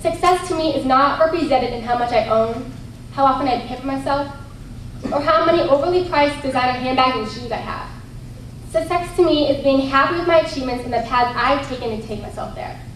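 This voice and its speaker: A woman's high-pitched voice in an American accent, at a fairly quick pace with ordinary pitch variation, amid audible room echo and noticeable background noise. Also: big swings in loudness. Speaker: pageant contestant. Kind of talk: prepared speech.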